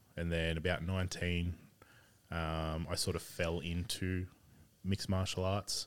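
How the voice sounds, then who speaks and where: With an Australian accent, a man speaks at a moderate pace in a very deep, low pitch and a monotone, flat intonation on a very clean recording with a silent background. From Sydney, Australia. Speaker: game store owner, former MMA fighter. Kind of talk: casual chat.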